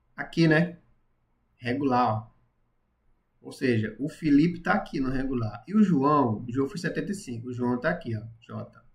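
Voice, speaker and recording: Speaking at a moderate pace with lively intonation, a man with a medium-pitched, somewhat breathy voice leaves long, frequent pauses. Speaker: math and physics teacher. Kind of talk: live-streamed tutorial. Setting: live stream.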